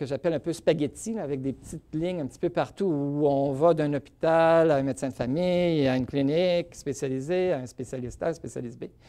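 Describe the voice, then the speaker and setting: Speech comes at a fairly quick pace over a very clean recording with a silent background. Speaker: physician researcher. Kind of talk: lecture. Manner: fast.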